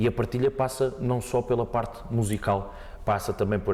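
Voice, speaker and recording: A man speaks over noticeable background noise. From Portugal, Montijo area. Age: 20s. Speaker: fado singer. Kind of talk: podcast interview. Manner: hesitant, repeats words.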